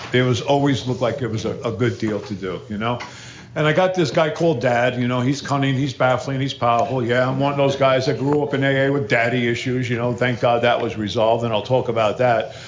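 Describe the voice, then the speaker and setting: A speaker with an American accent talks at a very fast pace with fairly even intonation. Noticeable background noise and audible room echo fill the recording. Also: man, medium pitch for a man. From New Jersey, Hudson River city across from New York. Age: 60s. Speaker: recovery speaker. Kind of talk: recovery talk to an audience. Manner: casual, conversational.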